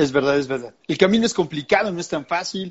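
This man speaks with a Mexican accent in a high voice. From Mexico. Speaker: podcast host. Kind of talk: interview. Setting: live video stream.

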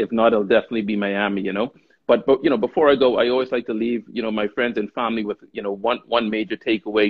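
This man talks very fast at a medium pitch. His intonation stays fairly even. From Bahamas. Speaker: luxury real estate broker. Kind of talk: interview. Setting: live video stream. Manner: halting, many fillers.

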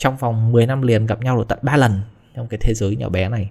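He speaks in an ordinary speaking voice with a medium pitch. The intonation holds fairly even throughout. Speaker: vlogger. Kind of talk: casual storytelling monologue.

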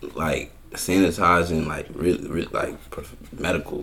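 A man speaks in a very deep, low pitch with monotone, flat intonation. Audible room echo surrounds his voice. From born in Brooklyn (Brownsville), New York; raised in Union Township, New Jersey. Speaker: podcast guest. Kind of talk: casual chat.

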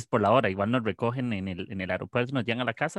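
The speaker has a Costa Rican accent and ordinary pitch variation, with a dry, close sound that has no echo. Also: man, quiet background. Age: 20s. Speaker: podcast host. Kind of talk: casual chat.

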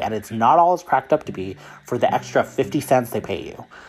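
Music in the background behind a man's moderately paced speech. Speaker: nurse and podcast host. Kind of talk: casual chat.

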